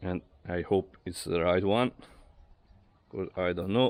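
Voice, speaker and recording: Very slowly, a man speaks at a very deep, low pitch with ordinary pitch variation. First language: Italian. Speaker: amateur car mechanic / garage vlogger. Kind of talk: casual DIY car talk to camera. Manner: hesitant, with filler words.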